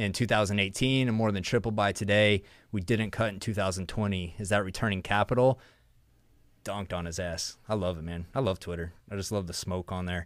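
A man with a fairly low pitch speaks fairly quickly and with fairly even intonation, recorded very cleanly against a silent background. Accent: Texan. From Texas. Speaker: energy show host. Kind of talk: casual live-stream chat. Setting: studio, live stream.

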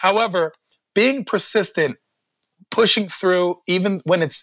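This man speaks fairly slowly with an American accent and a bright, sharp tone. The sound is dry and close, with no echo. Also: very clean recording, silent background. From Washington D.C. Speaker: comedian. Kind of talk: interview conversation. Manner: animated.

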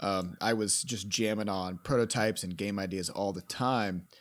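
With a fairly low pitch and an unremarkable speaking voice, a man speaks on a very clean recording with a silent background. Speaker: game programmer and podcast host. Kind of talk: casual comedic chat podcast.

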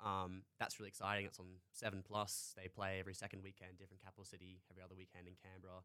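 Speaking very fast with hardly any pauses, a man with a very deep, low pitch uses a monotone, flat intonation and a bright, sharp tone, while his loudness swings widely. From North Queensland, Australia (Townsville). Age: 20s. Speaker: university student and hockey goalkeeper. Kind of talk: interview.

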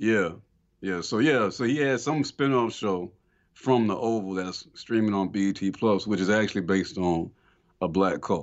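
A man with a fairly low pitch and an American accent, an unremarkable speaking voice at a moderate pace with ordinary pitch variation. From Atlanta, Georgia, US South. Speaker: film podcast co-host. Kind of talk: casual chat.

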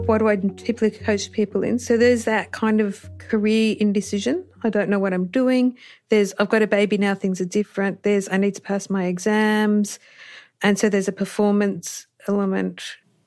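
In an Australian accent, a voice delivers monotone, flat intonation at a fairly quick pace in a very clean recording with a silent background. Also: woman, medium pitch for a woman. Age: 40s. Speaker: doctor and coach for health professionals. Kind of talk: interview.

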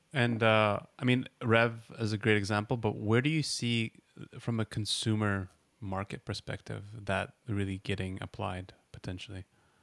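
Fairly low in pitch, a man with a plain, everyday voice speaks at a moderate pace with fairly even intonation and a dry, close sound with no echo. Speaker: podcast host. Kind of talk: interview, casual.

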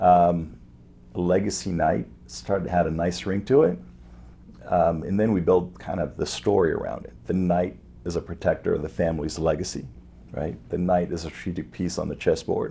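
Speaking at a moderate pace, a man with a very deep, low pitch and a dark, mellow tone shows vocal fry. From France (Paris), Lebanese-born. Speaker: wealth management entrepreneur. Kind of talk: interview.

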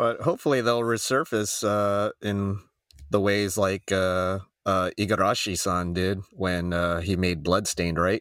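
An ordinary speaking voice from a man with an American accent, fairly low in pitch, fairly slow, with fairly even intonation and very even loudness on a very clean recording with a silent background. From Arizona, US. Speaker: gaming podcast co-host. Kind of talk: casual chat.

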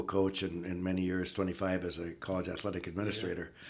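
A man talks at a fairly quick pace. His voice is very deep and low, with an Upper Midwest accent. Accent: Upper Midwest (Minnesota). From northern Minnesota, Iron Range. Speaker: retired athletics director. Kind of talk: interview. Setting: studio.

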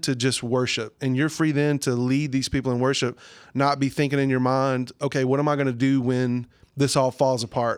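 In a Southern US accent, a man speaks at a moderate pace. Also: very clean recording, silent background. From southern Arkansas, US South. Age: 30s. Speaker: worship pastor. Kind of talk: casual interview.

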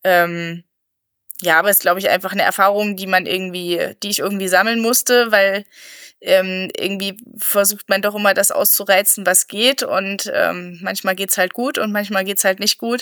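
The voice has a bright, sharp tone and monotone, flat intonation. It moves at a moderate pace. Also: woman, medium pitch for a woman. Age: 30s. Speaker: trail runner and doctor. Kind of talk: casual interview. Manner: hesitant, many fillers.

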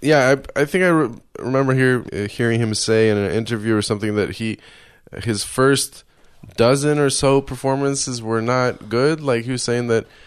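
Against a quiet background, a man with an American accent and an unremarkable speaking voice talks at a moderate pace and medium pitch. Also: ordinary pitch variation. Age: 30s. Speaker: podcast host and comedian. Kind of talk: casual interview.

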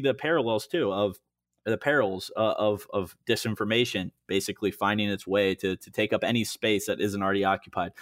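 With a Midwestern American accent, a man talks at a fairly quick pace in a fairly low pitch. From western Illinois (Moline). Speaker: political digital media director. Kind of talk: casual interview.

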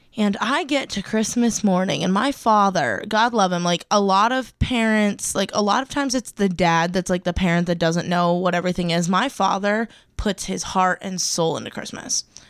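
An ordinary speaking voice from a woman at a medium pitch and moderate pace, with ordinary pitch variation, hardly any pauses and a very clean recording over a silent background. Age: 20s. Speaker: student podcast co-host. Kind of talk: casual chat.

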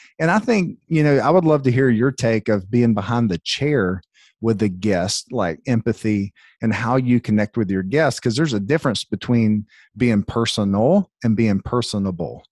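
A man with an unremarkable speaking voice and an American accent talks at a moderate pace and medium pitch with lively intonation. His loudness stays very even, the sound dry and close with no echo over a quiet background. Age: 30s. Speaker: salon owner and coach. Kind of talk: casual podcast conversation.

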